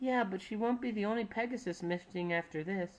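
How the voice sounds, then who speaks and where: A put-on character voice, fairly high in pitch, at a fairly quick pace. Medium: read story.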